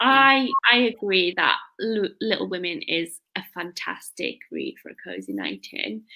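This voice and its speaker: Here a woman speaks in a Cumbrian accent with a bright, sharp tone. She keeps a fairly slow pace in a very clean recording with a silent background. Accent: northern English (Cumbrian). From northern England, Lake District. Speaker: book youtuber. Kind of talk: casual chat.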